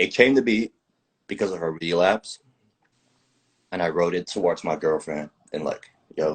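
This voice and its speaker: With a very deep, low pitch and ordinary pitch variation, a man speaks at a moderate pace, leaving long, frequent pauses, in a dry, close sound with no echo. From southern Netherlands. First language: Dutch. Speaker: musician. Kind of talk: casual interview chat.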